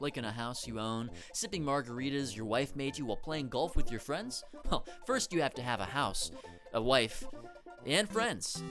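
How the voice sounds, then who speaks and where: Over music in the background, a man speaks with very wide pitch swings. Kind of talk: satirical comedy commentary. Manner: sarcastic, energetic.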